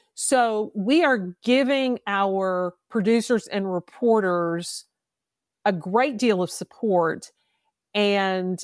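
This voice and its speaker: A woman with a Kentucky accent, medium in pitch with lively intonation, in a very clean recording with a silent background and a dry, close sound with no echo. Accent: Southern US (Kentucky). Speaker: podcast host, former public defender. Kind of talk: interview conversation.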